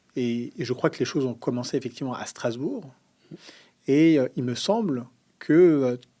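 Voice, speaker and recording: A man with a medium pitch speaks at a moderate pace in a dark, mellow tone, with ordinary pitch variation and long, frequent pauses. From central France (Sologne), then Paris. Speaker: podcast host, politically active. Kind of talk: interview.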